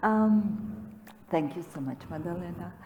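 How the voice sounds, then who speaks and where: A woman speaks with a fairly low pitch. Noticeable background noise and audible room echo fill the recording. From Armenia. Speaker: author. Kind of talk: panel conversation.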